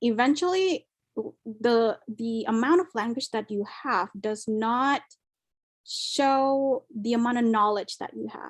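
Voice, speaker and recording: Speaking at a very slow pace with an Indonesian accent, a woman uses a fairly high pitch and ordinary pitch variation. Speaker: scholarship and study abroad speaker. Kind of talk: webinar Q&A answer.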